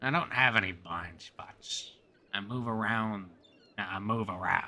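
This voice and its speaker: Using a raspy put-on character voice, a man talks at a fairly slow pace and a fairly low pitch. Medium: actual play. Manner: gruff, terse.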